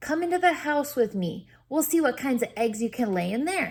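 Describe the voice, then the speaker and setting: A woman uses a put-on character voice with a high pitch. Her pace is moderate. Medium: read story.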